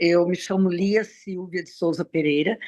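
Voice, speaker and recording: Her intonation fairly even, a woman talks at a fairly low pitch. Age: 70s. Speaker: Rotary district committee chair. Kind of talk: online meeting introduction.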